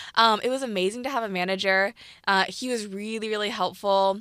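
A woman with a Californian accent and a bright, sharp tone, at a fairly quick pace with ordinary pitch variation, in a very clean recording with a silent background. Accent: General American, Californian. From US West Coast, Piedmont, California. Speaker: YouTuber and student entrepreneur. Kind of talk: interview, casual chat.

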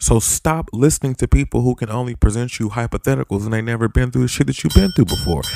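This man talks very fast at a medium pitch with lively intonation. The sound is dry and close with no echo, though background noise is noticeable. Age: 40s. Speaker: podcast host. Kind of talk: angry rant. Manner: fired up, loud, profane, emphatic, rapid-fire; unfiltered and confrontational.

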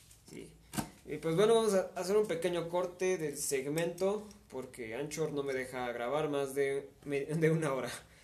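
In a Mexican accent, a man with a fairly high pitch speaks at a fairly slow pace with ordinary pitch variation, with audible room echo. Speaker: podcast host and singer. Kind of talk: casual chat. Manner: hesitant, many fillers.

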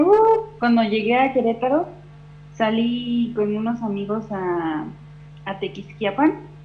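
With noticeable background noise behind her, a woman speaks at a very slow pace in a fairly high pitch that makes very wide swings. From Mexico, Tulancingo, Hidalgo. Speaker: podcast guest. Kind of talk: casual chat.

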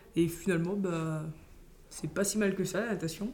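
Audible room echo surrounds a woman's voice. She keeps a moderate pace with fairly even intonation. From French Guiana. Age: 20s. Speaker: competitive swimmer. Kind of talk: interview. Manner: hesitant.

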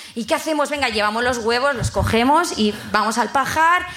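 A fairly quick female voice amid audible room echo and noticeable background noise. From Bilbao, Basque Country. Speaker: audience member. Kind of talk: storytelling to live audience. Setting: stage with live audience.

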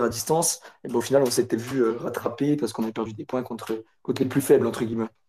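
A man's dark, mellow tone at a fairly quick pace with fairly even intonation. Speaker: football fan. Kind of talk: casual chat.

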